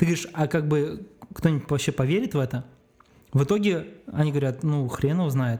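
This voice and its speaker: This man has a fairly high pitch and a dark, mellow, somewhat breathy tone, talking at a fairly quick pace with ordinary pitch variation and long, frequent pauses. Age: 30s. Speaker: video producer. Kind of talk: casual chat. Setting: studio.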